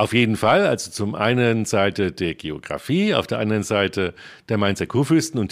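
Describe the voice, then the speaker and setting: A man with an unremarkable speaking voice, medium pitch and lively intonation at a moderate pace, on a very clean recording with a silent background. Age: 50s. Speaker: historian and archaeology project leader. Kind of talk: interview.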